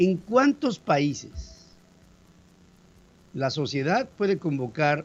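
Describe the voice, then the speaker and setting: A man talks at a very slow pace. His voice is fairly high and somewhat breathy. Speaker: radio news host. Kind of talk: news commentary.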